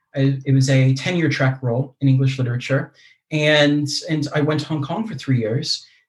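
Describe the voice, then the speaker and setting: A man speaks with an American accent at a fairly high pitch. His voice is somewhat breathy, with fairly even intonation. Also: moderate pace. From US. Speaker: mindfulness teacher and university lecturer. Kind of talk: casual interview conversation.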